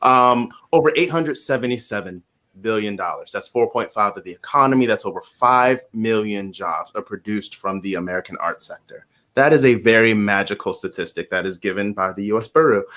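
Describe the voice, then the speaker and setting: On a very clean recording with a silent background, a man speaks at a fairly quick pace with a bright, sharp tone, medium pitch and ordinary pitch variation. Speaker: podcast host. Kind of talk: interview discussion.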